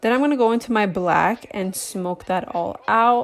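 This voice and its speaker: Music plays behind the woman. Her intonation is fairly even. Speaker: makeup artist. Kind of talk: casual makeup tutorial talk to camera.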